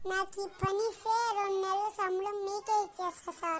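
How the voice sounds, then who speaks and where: A woman puts on a squeaky character voice with an extremely high pitch and a monotone, flat intonation. Her pace is moderate, her loudness very even, and there is clear background noise. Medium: comedy sketch. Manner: sassy, quick comebacks.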